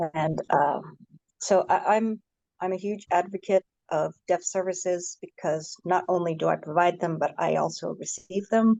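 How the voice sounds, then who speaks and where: A woman's voice with vocal fry and fairly even intonation. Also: medium pitch for a woman, moderate pace. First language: American Sign Language. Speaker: panelist, deaf services advocate. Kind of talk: panel introduction.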